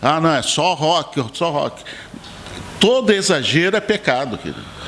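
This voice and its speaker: A high-pitched man at a fairly slow pace with lively intonation, over noticeable background noise. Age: 60s. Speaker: pastor and bass player. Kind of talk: podcast interview.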